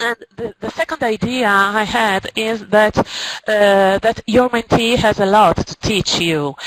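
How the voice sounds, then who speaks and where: A woman speaks very slowly with a non-native accent and hardly any pauses. Her pitch is fairly high with ordinary variation, and the sound is dry and close with no echo. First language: Italian or Spanish. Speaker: teacher. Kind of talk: presentation. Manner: halting.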